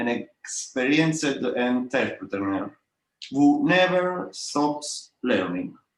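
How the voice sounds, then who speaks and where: A man speaks with ordinary pitch variation. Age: 30s. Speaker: startup founder and CEO. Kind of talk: podcast interview. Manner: halting, many fillers.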